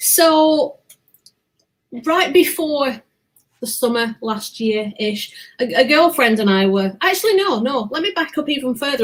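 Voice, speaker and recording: A somewhat breathy woman at a moderate pace, with very wide pitch swings. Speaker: podcast host guest. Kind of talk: casual interview chat.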